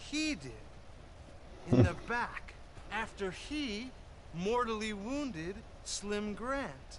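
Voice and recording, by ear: In a put-on character voice, a man speaks at a high pitch and a very slow pace, with big pitch swings and long, frequent pauses.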